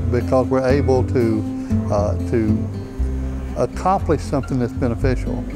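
Clear music sits in the background as a man talks at a moderate pace. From Bessemer, Alabama. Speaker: car salesman, former pastor. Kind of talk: interview answer. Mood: warm, sincere. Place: shop. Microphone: lapel.

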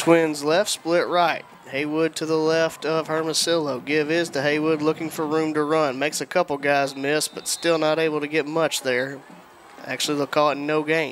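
At a moderate pace and in a monotone, flat intonation, someone speaks with a Southern US accent over noticeable background noise. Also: man, fairly high pitch for a man. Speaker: play-by-play announcer. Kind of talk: live sports play-by-play commentary. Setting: stadium broadcast booth.

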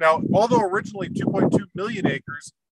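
A man speaks at a fairly quick pace in a dry sound with no echo, against noticeable background noise. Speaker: refuge educator. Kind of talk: lecture. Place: open country.

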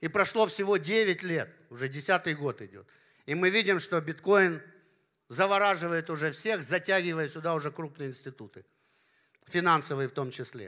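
A man with a high pitch and a bright, sharp tone speaks at a moderate pace against a quiet background. His loudness swings widely, his pitch varies in an ordinary way, and he takes long, frequent pauses. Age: 50s. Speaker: party leader and business philosopher; speaker. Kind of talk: conference talk. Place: hall. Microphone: handheld.

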